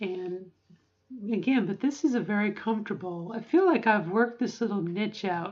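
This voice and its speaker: Her voice sits at a medium pitch and sounds somewhat breathy. This woman shows ordinary pitch variation. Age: middle-aged. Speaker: vlogger. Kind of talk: vlog monologue. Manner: halting; voice practice at higher pitch.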